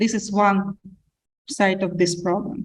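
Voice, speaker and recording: A woman's voice comes across somewhat breathy. She speaks very slowly. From Ukraine. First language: Ukrainian or Russian. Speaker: panelist. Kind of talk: panel discussion. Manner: halting.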